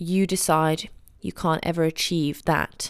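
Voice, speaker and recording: The speech moves at a fairly slow pace. Intonation stays flat and monotone. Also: woman. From England. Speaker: ballet teacher and podcast host. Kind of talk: motivational solo podcast talk.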